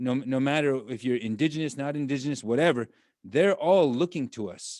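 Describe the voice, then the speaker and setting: At a moderate pace, a plain, everyday voice speaks with ordinary pitch variation. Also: man. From Standing Rock, Dakotas, US. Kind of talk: panel discussion. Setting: video call.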